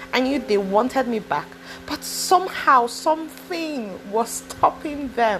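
With very wide pitch swings, a woman speaks in a high pitch against noticeable background noise. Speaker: podcaster. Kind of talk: personal testimony monologue. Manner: casual, hesitant with fillers.

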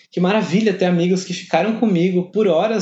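A man speaks in a high voice. His pitch sits well up for a male speaker. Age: 20s. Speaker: podcast host. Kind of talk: personal letter read to listeners.

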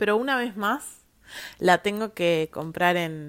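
A woman at a medium pitch, with lively intonation and a very slow pace, on a very clean recording with a silent background. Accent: Patagonian. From Argentina, Viedma, Río Negro (Patagonia). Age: 30s. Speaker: podcast host, lawyer. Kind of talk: solo monologue podcast. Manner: casual with frequent fillers and repetitions.

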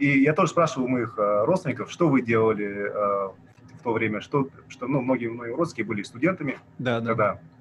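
A man at a medium pitch with ordinary pitch variation and a fairly quick pace, over noticeable background noise. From Kazakhstan, Almaty. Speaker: activist and blogger. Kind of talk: casual interview.

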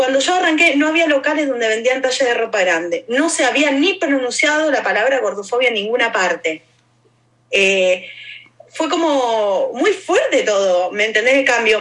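With very wide pitch swings and very even loudness, a woman with an Argentine accent speaks at a high pitch. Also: moderate pace. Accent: Rioplatense Argentine Spanish. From Argentina. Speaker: activist and educator. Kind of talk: interview conversation.

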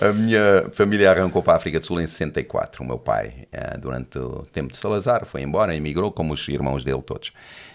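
A man speaks at a fairly quick pace in a very deep, low voice with vocal fry, lively intonation and big swings in loudness. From South Africa, Johannesburg (Portuguese family). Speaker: pastor. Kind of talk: casual chat.

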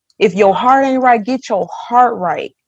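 A woman speaks in a normal speaking voice with a fairly high pitch. Her pace is moderate and her pitch variation ordinary. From Milwaukee, Wisconsin. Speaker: youth advocate panelist. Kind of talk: livestream panel discussion.

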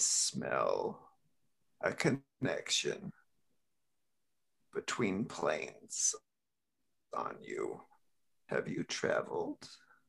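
This man has a menacing tone. He talks at a very slow pace with long, frequent pauses. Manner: cryptic, menacing, persuasive.

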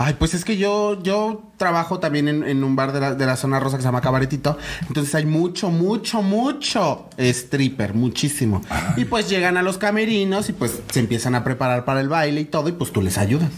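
Speech moves at a moderate pace with hardly any pauses. Noticeable background noise is present. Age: 20s. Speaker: drag queen. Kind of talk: casual chat.

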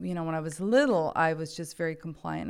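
A woman's fairly low voice in an American accent, on a very clean recording with a silent background. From California, Bay Area. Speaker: podcast guest sharing life story. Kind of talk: testimony.

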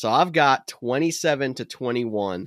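Recorded very cleanly with a silent background, the sound is dry and close with no echo. A man with an unremarkable speaking voice talks at medium pitch and a moderate pace, with lively intonation. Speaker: fantasy football podcast host. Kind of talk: casual chat. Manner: jokey, laughs often.

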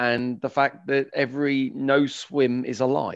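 Against a quiet background, a man speaks with a southern English accent. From West London, England. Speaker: open water swimming tour company founder. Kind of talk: interview. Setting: video call. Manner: halting.

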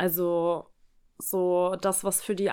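Her voice holds a medium pitch with a monotone, flat intonation. The woman is heard on a very clean recording over a silent background. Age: 20s. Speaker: podcast host. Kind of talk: casual chat. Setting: recording in co-host's apartment.

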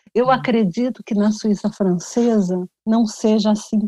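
A woman's fairly high voice, dark and mellow in tone, with ordinary pitch variation and a dry, close sound free of echo. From Rio de Janeiro, Brazil. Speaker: journalist and author. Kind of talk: interview.

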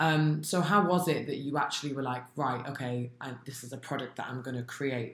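This woman talks at a fairly quick pace with a very deep, low voice, ordinary pitch variation, and hardly any pauses. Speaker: podcast host and founder. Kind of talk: casual interview chat.

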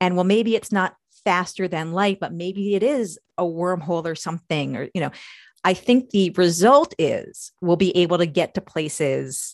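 Against a quiet background, a woman with an American accent and a plain, everyday voice speaks at a moderate pace with ordinary pitch variation and a dry, close sound with no echo. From New York. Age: 40s. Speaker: engineer and science fiction author. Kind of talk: interview.

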